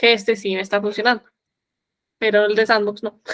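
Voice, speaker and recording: The woman speaking has a fairly high pitch. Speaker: software trainer. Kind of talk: tutorial.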